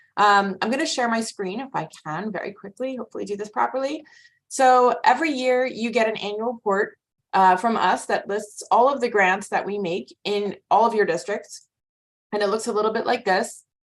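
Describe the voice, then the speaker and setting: Against a quiet background, a woman talks at a fairly high pitch with ordinary pitch variation. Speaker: nonprofit grants representative. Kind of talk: committee presentation. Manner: fast.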